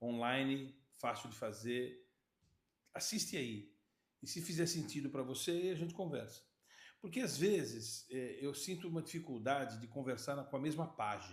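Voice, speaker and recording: Amid audible room echo, a man speaks at a moderate pace with lively intonation and a somewhat breathy voice. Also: fairly high pitch for a man. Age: 60s. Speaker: podcast host and sales consultant. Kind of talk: casual chat.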